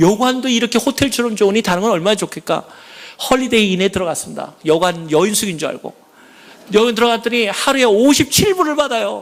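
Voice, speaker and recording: Speaking at a fairly quick pace, a man with a high voice uses an animated tone and lively intonation. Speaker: church elder. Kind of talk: testimony. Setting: church.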